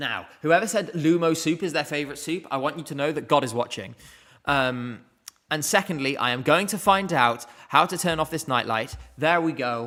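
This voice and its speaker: Fairly high-pitched male speech in a British accent, with ordinary pitch variation, a moderate pace and music in the background. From UK. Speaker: streamer, music contest commentator. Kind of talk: live stream commentary and chat Q&A.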